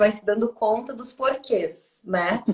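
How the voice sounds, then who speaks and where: Speaking at a fairly slow pace, a woman uses lively intonation in a Brazilian accent. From southern Brazil. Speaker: Akashic records therapist. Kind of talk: casual chat.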